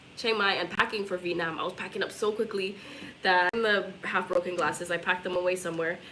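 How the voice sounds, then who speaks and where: With noticeable noise behind her, a woman speaks very fast at a medium pitch with fairly even intonation. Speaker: travel vlogger. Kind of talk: casual chat.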